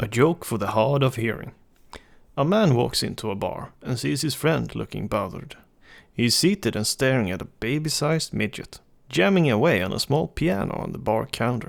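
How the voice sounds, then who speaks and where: On a very clean recording with a silent background, a man speaks with vocal fry and very wide pitch swings. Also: medium pitch for a man, moderate pace. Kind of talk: reading jokes aloud for a microphone test. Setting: recorded on a USB desktop microphone. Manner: calm.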